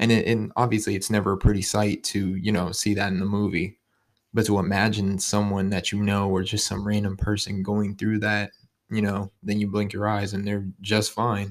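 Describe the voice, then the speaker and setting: A man with an American accent speaks at a moderate pace in a fairly low, flat monotone. The recording is very clean, with a silent background. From Ohio, Youngstown. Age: 20s. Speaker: podcast host. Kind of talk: casual monologue.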